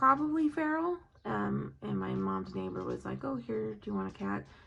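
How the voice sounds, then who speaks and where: A woman is speaking. Her pace is fairly slow. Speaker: nurse doing graduate coursework. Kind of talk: casual study-with-me vlog monologue. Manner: rambling with many fillers.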